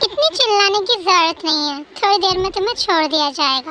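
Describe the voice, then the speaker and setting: A woman uses a put-on character voice at an extremely high pitch. She keeps a moderate pace. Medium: read story. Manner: menacing, mocking.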